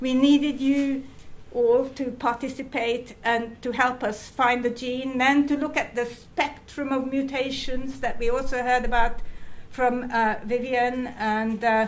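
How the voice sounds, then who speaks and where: The speech is fairly slow, with a monotone, flat intonation. Audible room echo surrounds it. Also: woman, high pitch for a woman. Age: 70s. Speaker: retired geneticist and charity patron. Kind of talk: conference talk. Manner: halting.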